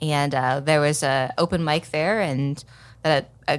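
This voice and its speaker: Her voice very deep and low, a woman with an American accent speaks at a fairly slow pace on a very clean recording with a silent background. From Oklahoma City, Oklahoma. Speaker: stand-up comedian. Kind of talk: casual interview chat. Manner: halting, many fillers.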